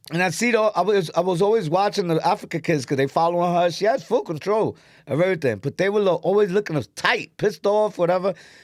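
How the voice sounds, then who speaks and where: With an animated tone and a high pitch, a man races along at a very fast pace with very even loudness and hardly any pauses. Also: ordinary pitch variation. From New York, South Bronx. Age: 40s. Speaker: comedian. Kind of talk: casual chat.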